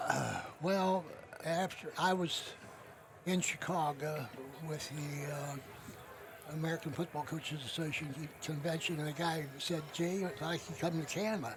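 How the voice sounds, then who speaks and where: With noticeable background noise behind him, a man speaks at a fairly high pitch with fairly even intonation. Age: 90s. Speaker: retired football coach. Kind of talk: interview reminiscence. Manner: halting.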